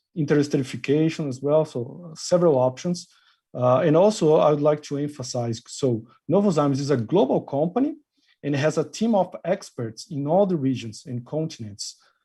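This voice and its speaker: A man with a Brazilian accent talks at a fairly quick pace in a fairly high, dark, mellow and somewhat breathy voice, on a very clean recording with a silent background. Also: ordinary pitch variation. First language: Portuguese. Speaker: industry marketing manager. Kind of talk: interview. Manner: hesitant with frequent uh fillers.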